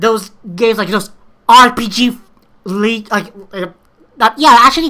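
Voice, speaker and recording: In a strong Filipino accent, a woman speaks with a bright, sharp, animated tone at a fairly high pitch and ordinary pitch variation. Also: moderate pace. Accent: thick Filipino. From Philippines. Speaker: YouTuber, amateur game maker. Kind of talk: response video monologue. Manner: halting.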